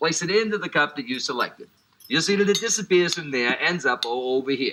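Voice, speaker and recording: Speaking very fast with a New Orleans accent, a man shows ordinary pitch variation. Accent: New Orleans American English. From US, New Orleans. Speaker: magician. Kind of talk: magic performance patter. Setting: TV studio. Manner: animated, joking.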